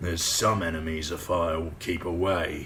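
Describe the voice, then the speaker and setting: Over clear background noise, a man puts on a character voice that is raspy, gruff and very deep in pitch. He delivers it at a moderate pace in a monotone, flat intonation. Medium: read story. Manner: gruff, muttering.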